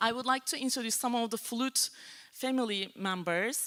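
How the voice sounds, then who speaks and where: Speaking at a fairly slow pace, a woman with a Turkish accent has a bright, sharp tone, a fairly high pitch and lively intonation. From Turkey. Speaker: flute professor. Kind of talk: concert introduction. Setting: church stage with audience.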